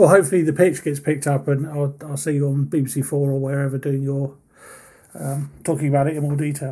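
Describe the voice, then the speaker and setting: A man's fairly high, somewhat breathy voice at a very fast pace, in a monotone, flat delivery. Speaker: podcast interviewer. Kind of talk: casual interview chat.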